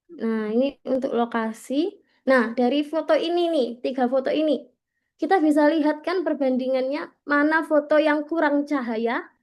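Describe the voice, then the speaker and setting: Against a quiet background, a woman with a high voice and a slight Javanese accent speaks at a moderate pace with ordinary pitch variation. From East Java, Gresik. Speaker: content creation trainer. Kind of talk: training workshop presentation. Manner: casual, conversational.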